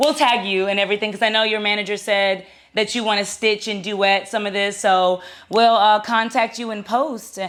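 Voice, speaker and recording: Her medium-pitched voice moves at a moderate pace, and the woman's intonation stays fairly even. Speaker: content creator interviewer. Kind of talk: confrontational interview. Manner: loud; steady tone.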